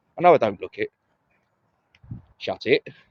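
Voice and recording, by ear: A man's fairly low voice, fairly slow, with big pitch swings and a dry, close sound with no echo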